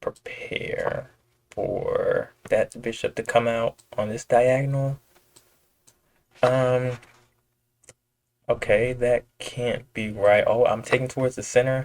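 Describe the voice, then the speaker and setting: With long, frequent pauses, a man speaks at a very slow pace in a dry, close sound with no echo. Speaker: chess streamer. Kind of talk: live gameplay commentary. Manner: casual, thinking aloud with fillers.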